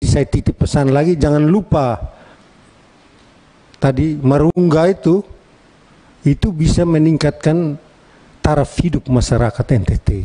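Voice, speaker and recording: Speaking at a fairly slow pace with long, frequent pauses, a man with a Timorese accent uses ordinary pitch variation in a dry, close recording with no echo. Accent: eastern Indonesian (Timor). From Timor, East Nusa Tenggara, Indonesia. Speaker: member of parliament. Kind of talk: parliamentary hearing speech. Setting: meeting room microphone. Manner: animated, lively.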